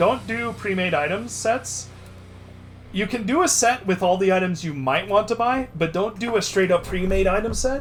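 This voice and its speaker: A loud man's voice, high in pitch with ordinary variation, at a moderate pace. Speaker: video game streamer. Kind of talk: live stream game commentary and coaching. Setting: live stream with background music.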